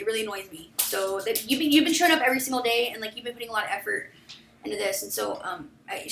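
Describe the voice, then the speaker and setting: This woman talks. She goes at a very fast pace. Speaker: project lead in a team meeting. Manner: fast talker.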